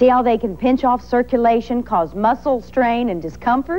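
Over noticeable background noise, a woman talks in a high pitch with lively intonation. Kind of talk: TV commercial read.

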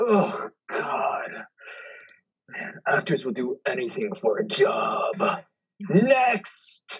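The delivery is very slow. Long, frequent pauses break it up. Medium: comedy sketch. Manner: brusque, cynical.

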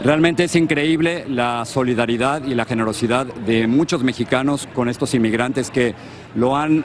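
A man talks with ordinary pitch variation, the sound dry with no echo and light background noise behind him. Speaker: TV news reporter. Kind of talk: live news report. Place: street. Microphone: handheld.

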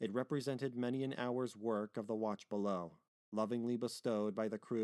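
The background stays quiet while a natural reading voice is heard.

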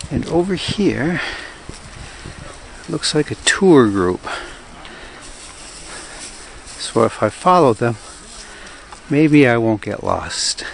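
A man speaks at a very slow pace with long, frequent pauses and very wide pitch swings, his dry sound carrying no echo over light background noise. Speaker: travel vlogger. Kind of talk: casual vlog narration. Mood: cheerful, curious. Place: open country. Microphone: phone near.

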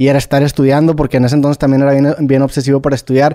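A man speaks in a dark, mellow tone. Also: dry, close sound with no echo. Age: 30s. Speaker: podcaster. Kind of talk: casual chat.

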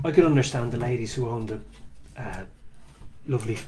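A fairly quick man with an Irish accent over light background noise. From Ireland. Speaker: street preacher. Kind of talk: casual monologue talk. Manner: halting. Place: home room. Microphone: earbuds.

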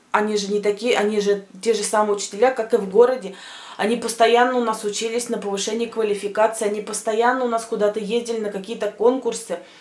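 A woman talks at a very fast pace with a fairly high pitch, and there is audible room echo. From Russian-speaking village, former USSR. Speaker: vlogger. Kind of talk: casual vlog monologue. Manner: animated. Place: home room. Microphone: phone near.

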